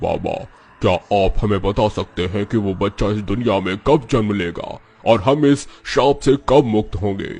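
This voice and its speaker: Using a cartoonish character voice, a man speaks at a fairly low pitch. His pace is moderate. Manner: humble, imploring.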